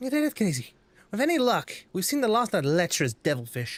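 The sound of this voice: Unforced reading voice throughout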